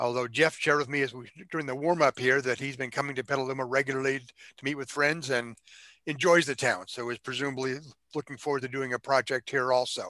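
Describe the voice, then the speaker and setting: Against a quiet background, a man speaks very fast in a bright, sharp, monotone voice with a dry sound and no echo. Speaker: forum moderator. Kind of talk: meeting introduction. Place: home room. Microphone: headset.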